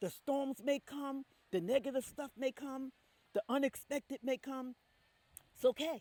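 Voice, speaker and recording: An animated tone at a fairly slow pace, with long, frequent pauses. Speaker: mindset coach. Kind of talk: motivational talk.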